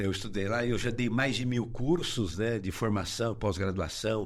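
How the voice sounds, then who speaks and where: Room echo is audible here. It surrounds a man's voice. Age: 70s. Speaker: exercise physiologist and personal trainer. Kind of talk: interview.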